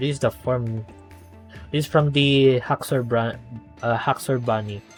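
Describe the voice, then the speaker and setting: With music in the background, a speaker with a non-native accent talks at a fairly slow pace with fairly even intonation. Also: man, medium pitch for a man. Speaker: gameplay commentator. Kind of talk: casual gameplay commentary.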